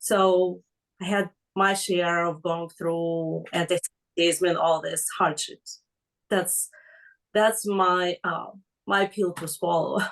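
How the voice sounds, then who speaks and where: A woman with a fairly low pitch talks very slowly. Her intonation is flat and monotone. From former Soviet Union. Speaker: class participant. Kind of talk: asking a question in class. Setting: online class on video call. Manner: halting, many fillers.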